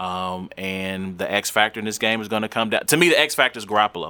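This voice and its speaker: A man speaks at a very fast pace in a bright, sharp tone. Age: 30s. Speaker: podcast host. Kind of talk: casual chat. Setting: home studio.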